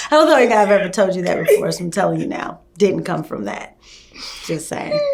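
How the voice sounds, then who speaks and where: Against noticeable background noise, a woman speaks at a fairly quick pace in an animated tone. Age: 40s. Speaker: university staff member and podcast host. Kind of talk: casual chat.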